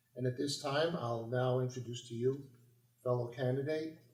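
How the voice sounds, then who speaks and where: With audible room echo, a man speaks at a moderate pace using fairly even intonation. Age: 60s. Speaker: city council candidate and local politician. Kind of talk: campaign speech. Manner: halting, with many fillers.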